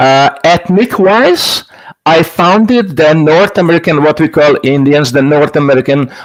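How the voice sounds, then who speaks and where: In a Hungarian accent, a man with a fairly high pitch talks at a moderate pace with lively intonation. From Hungary. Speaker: stage hypnotist. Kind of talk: casual interview.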